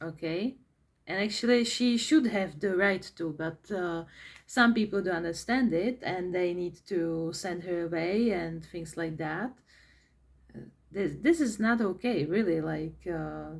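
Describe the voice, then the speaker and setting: This woman speaks at a fairly slow pace with a Czech accent. Her voice is fairly low, with ordinary pitch variation. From Czech Republic. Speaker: vlogger. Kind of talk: personal monologue vlog. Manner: halting, many fillers and repetitions.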